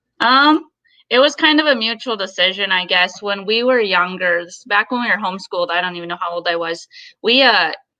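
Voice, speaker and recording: A woman speaks with an Upper Midwest accent. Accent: Upper Midwest American. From Minnesota, Twin Cities. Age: 20s. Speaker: golf director. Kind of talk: casual interview.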